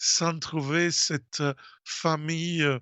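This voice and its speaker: A man speaks at a high pitch with a strong Italian accent. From Italy. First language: Italian (speaking French). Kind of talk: radio talk. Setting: radio studio. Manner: halting, many hesitations.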